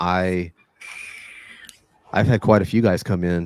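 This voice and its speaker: A man with an American accent speaks with a very deep, low pitch and fairly even intonation. The sound is dry and close, with no echo. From Texas. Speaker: Brazilian jiu-jitsu coach. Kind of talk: podcast interview answer. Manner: casual.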